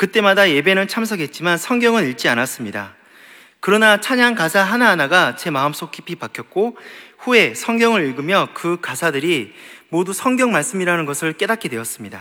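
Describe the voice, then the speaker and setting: With a bright, sharp tone, a man speaks at a fairly quick pace, his high voice making very wide pitch swings. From Gyeongsang region, South Korea. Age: 30s. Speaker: office worker giving church testimony. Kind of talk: testimony. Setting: church.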